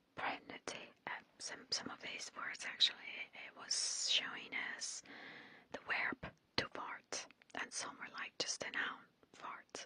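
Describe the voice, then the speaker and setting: Whispering at a fairly slow pace, a woman leaves long, frequent pauses in a dry sound with no echo. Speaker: ASMR creator. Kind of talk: casual vlog chat. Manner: close intimate ASMR whisper. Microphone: studio mic.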